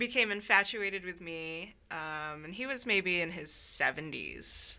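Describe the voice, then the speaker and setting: On a very clean recording with a silent background, a woman with a fairly low pitch speaks in a bright, sharp tone with lively intonation. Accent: Californian. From Northern California, Sacramento. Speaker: visual artist. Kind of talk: interview. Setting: library.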